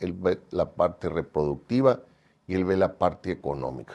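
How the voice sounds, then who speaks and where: The voice has a dark, mellow tone and moves at a moderate pace. The background is quiet. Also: man. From Mexico, Sinaloa (Mazatlán). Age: 60s. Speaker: cattle rancher and breeders' association treasurer. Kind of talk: interview. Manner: hesitant, many fillers.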